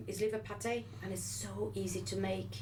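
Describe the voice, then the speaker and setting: A woman with a French accent talks at a moderate pace, with audible room echo and noticeable background noise. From France. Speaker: nutritionist and wellness show co-host. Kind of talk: casual chat. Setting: radio studio. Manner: hesitant, many fillers.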